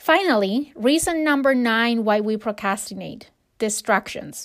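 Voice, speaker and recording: In a very clean recording with a silent background, a woman with a fairly high pitch talks at a fairly slow pace with lively intonation. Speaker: podcast host, HR professional and fitness coach. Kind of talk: solo self-help podcast monologue.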